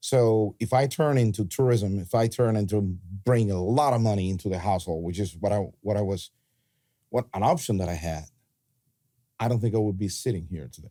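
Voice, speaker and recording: A man with a Cuban accent speaks at a fairly quick pace in a dark, mellow tone and a fairly low pitch. His pitch varies in an ordinary way, broken by long, frequent pauses. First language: Spanish. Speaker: pastor. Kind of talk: podcast conversation.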